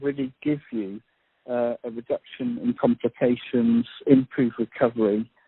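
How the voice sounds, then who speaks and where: Speaking with a British accent, a man keeps a moderate pace. His pitch variation is ordinary. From UK. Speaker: doctor. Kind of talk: panel discussion.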